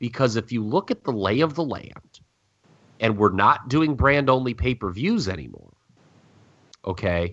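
This man talks at a fairly slow pace. His pitch swings very widely. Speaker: wrestling podcast co-host. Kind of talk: casual chat. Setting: at home. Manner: loud.

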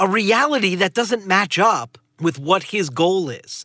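On a very clean recording with a silent background, a man with an American accent uses a raised, projected voice, high pitch and a bright, sharp tone at a fairly slow pace. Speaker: podcast host and political analyst. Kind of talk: news analysis discussion.

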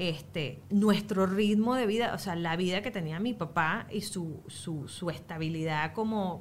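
A woman with a Venezuelan accent, medium pitch and ordinary pitch variation, in audible room echo. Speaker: mother. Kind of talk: casual chat.

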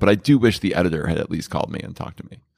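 A man talks at a very fast pace with very deep, low pitch and lively intonation. The sound is dry and close with no echo, on a very clean recording with a silent background. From New Jersey (Edison). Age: 50s. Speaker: author and TV personality. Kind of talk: casual chat. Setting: bar.

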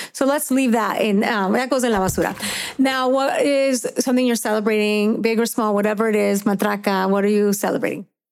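A woman talks at a fairly quick pace in an ordinary speaking voice, pitched fairly high. Her pitch varies in an ordinary way and her loudness stays very even. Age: 40s. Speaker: podcast host and fitness coach. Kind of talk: casual interview chat.

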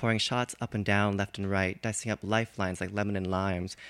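A man talks at a fairly quick pace in a fairly low pitch. The recording is very clean, with a silent background. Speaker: open mic poet. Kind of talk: poetry reading. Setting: stage with audience. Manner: animated.

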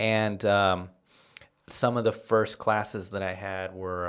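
A man with an East Coast accent speaks at a fairly slow pace. His fairly low voice stays monotone and flat. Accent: American English, East Coast. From Washington, D.C., US East Coast. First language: Spanish. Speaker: comedian. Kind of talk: casual interview chat.

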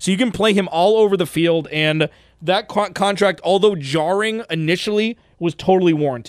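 With an American accent, a man speaks in an animated tone at a moderate pace, his high pitch showing ordinary variation and his loudness very even. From US West Coast, Los Angeles. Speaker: sports podcast host. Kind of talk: sports talk podcast discussion.

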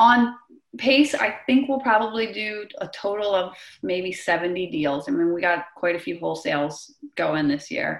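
A woman with a normal speaking voice talks at medium pitch and a moderate pace with lively intonation. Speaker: real estate investor. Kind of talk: interview conversation.

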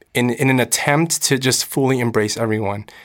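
A medium-pitched man with a Californian accent at a fairly quick pace. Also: very clean recording, silent background. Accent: Californian American. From Los Angeles, US. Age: 20s. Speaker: actor and musician. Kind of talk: casual chat.

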